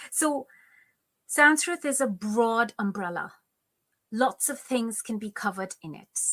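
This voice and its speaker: With a Bengali accent, the speaker talks at a fairly slow pace with long, frequent pauses, lively intonation, big swings in loudness and a bright, sharp tone, recorded very cleanly against a silent background with a dry, close sound and no echo. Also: woman, fairly high pitch for a woman. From India, Kolkata. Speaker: Sanskrit scholar. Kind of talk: interview.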